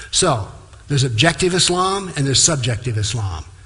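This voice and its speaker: A man with a medium pitch and a bright, sharp tone speaks at a moderate pace amid audible room echo. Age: 70s. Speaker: lecturer on Islam. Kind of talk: public talk.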